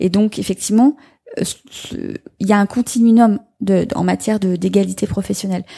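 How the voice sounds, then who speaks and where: A woman speaks at a moderate pace and a medium pitch, with fairly even intonation. Her tone is dark, mellow and somewhat breathy, in a dry, close sound with no echo. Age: 40s. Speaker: member of parliament. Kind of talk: live panel discussion. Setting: stage with audience.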